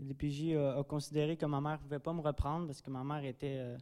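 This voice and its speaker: A dark, mellow tone in a Quebec accent, with monotone, flat intonation. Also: man. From Drummondville, Quebec. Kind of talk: testimony. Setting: church.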